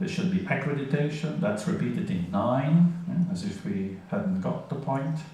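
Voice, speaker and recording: A man with a fairly high pitch speaks at a moderate pace with lively intonation and hardly any pauses. Audible room echo and noticeable background noise fill the recording. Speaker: conference speaker on legal interpreting. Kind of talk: conference lecture.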